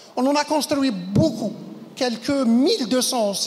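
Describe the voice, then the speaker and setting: A woman with a high pitch talks very slowly, with ordinary pitch variation. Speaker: conference speaker, medical educator. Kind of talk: conference talk.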